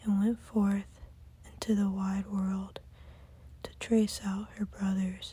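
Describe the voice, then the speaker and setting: Soft-spoken delivery at a very slow pace. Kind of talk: sleep story.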